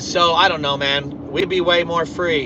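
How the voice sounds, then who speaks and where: The speech moves at a very slow pace, with music in the background. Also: man. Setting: phone or stream with poor connection. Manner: monotone.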